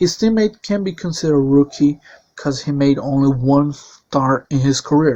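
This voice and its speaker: With a Portuguese accent, a man speaks in a dark, mellow tone at a moderate pace with ordinary pitch variation against a quiet background. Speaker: sim racing league commentator. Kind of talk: video presentation.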